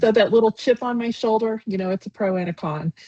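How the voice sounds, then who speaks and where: In an American accent, a woman speaks with a dark, mellow, somewhat breathy tone and ordinary pitch variation, the sound dry and close with no echo. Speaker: sales executive, company founder. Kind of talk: interview.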